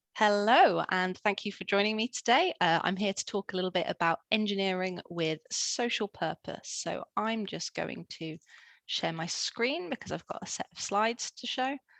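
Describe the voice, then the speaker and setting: A woman with a British accent talks at a moderate pace with ordinary pitch variation, the sound dry and close with no echo against a quiet background. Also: medium pitch for a woman. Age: 20s. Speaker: engineer. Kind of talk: presentation talk. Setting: online talk with screen sharing.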